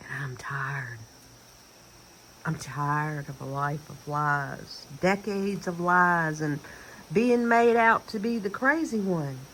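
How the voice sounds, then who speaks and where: Speaking very slowly with a Southern US accent, a woman with a very deep, low pitch makes very wide pitch swings and big swings in loudness. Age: 50s. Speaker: vlogger. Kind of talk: casual monologue. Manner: animated.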